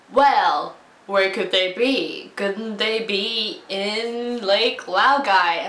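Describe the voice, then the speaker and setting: A woman puts on a character voice with a fairly high pitch. She speaks very slowly. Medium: solo performance.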